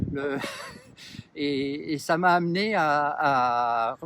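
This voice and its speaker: Ordinary pitch variation from a man with a fairly high voice. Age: 60s. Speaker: municipal election candidate. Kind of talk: interview. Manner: halting, many hesitations.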